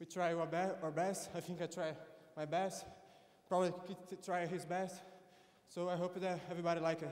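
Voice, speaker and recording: A high-pitched man with a Brazilian Portuguese accent, fairly quick yet with long, frequent pauses, monotone and flat, amid noticeable background noise. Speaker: jiu-jitsu competitor. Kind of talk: post-fight interview. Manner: halting.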